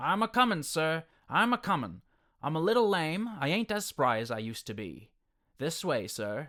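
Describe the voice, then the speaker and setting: In a put-on character voice, a man speaks at a moderate pace with a fairly high, shrill pitch and very wide pitch swings, on a very clean recording with a silent background. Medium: read story. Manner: persistent, wheedling.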